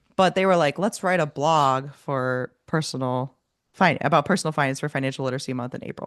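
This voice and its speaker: Against a quiet background, a woman speaks at a very deep, low pitch. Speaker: personal finance podcast host. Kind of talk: interview. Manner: casual, chatty.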